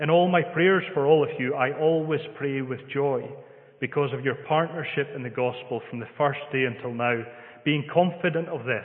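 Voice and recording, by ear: A man with a Scottish accent talks at a moderate pace and medium pitch, with few pauses and ordinary pitch variation. Room echo is audible.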